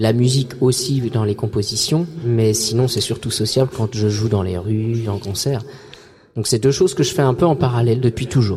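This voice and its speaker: Somewhat breathy, a man speaks at a medium pitch with a dark, mellow tone. His pace is moderate. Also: ordinary pitch variation. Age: 30s. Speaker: singer and comic artist. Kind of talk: casual interview. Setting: outdoor event, live radio. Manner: halting, many repetitions.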